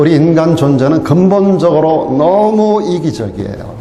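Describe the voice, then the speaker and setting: A man talks at a fairly high pitch and a fairly slow pace. Audible room echo and noticeable background noise surround his voice. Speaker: pastor. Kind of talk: sermon.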